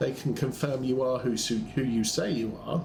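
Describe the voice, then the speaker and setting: A man with a British accent, medium pitch, and audible room echo. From UK. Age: 60s. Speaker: gaming streamer. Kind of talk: casual chat. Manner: halting, many fillers.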